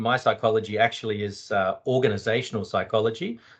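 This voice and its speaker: A man talks in a strong Australian accent. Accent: broad Australian. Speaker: psychologist and UX designer. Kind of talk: panel discussion.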